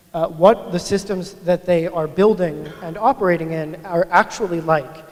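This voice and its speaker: A man's high voice at a moderate pace, fairly even in intonation, over noticeable background noise. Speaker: agile coach, conference speaker. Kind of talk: conference talk. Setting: stage with audience. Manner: mumbling.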